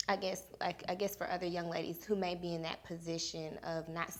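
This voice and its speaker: A woman with a normal speaking voice talks at a moderate pace in a fairly low pitch. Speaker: talk show host. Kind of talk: interview question.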